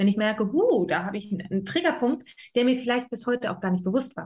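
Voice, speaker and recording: Somewhat breathy, a woman speaks fairly quickly at a fairly high pitch. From Berlin, Germany. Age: 30s. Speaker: life coach. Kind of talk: casual interview.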